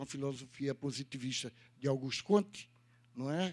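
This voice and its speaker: With an ordinary speaking voice and lively intonation, a man talks at a moderate pace on a very clean recording with a silent background. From Brazil, Northeast. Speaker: lecturer. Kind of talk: lecture.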